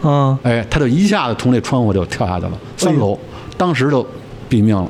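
A man at medium pitch, talking at a fairly quick pace over noticeable background noise. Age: 50s. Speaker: surgical oncologist. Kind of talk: casual chat. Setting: family home.

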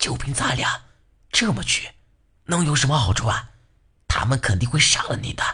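Using a raspy, put-on character voice, a man talks at a medium pitch and a moderate pace.

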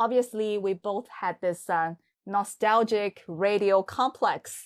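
A woman's medium-pitched voice at a fairly slow pace with ordinary pitch variation, in a very clean recording with a silent background and a dry, close sound with no echo. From China, Hangzhou area (Zhejiang). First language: Mandarin Chinese. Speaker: podcast host. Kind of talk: casual chat.

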